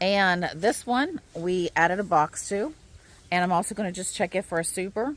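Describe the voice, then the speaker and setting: A woman with an ordinary speaking voice, medium pitch, ordinary pitch variation and a moderate pace. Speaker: homesteading vlogger. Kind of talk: casual vlog tutorial. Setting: outdoors.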